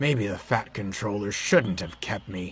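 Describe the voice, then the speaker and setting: Putting on a growling character voice, a man talks at a fairly low pitch and moderate pace. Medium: machinima.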